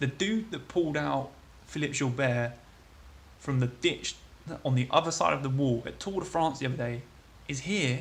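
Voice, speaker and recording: A man with a British accent talks at a fairly quick pace with a fairly high pitch. His voice is somewhat breathy, with ordinary pitch variation and long, frequent pauses. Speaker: cycling journalist and amateur crit racer. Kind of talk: travel vlog.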